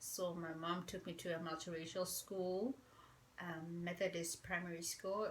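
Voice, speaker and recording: A quiet woman speaks with a bright, sharp tone and a fairly low pitch. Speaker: vlogger. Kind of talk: casual chat. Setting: at home.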